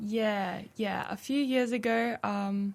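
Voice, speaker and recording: On a very clean recording with a silent background, a woman's voice is somewhat breathy and fairly high in pitch. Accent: Australian. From Australia, Brisbane (Logan). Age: 20s. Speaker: radio producer. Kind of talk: testimony.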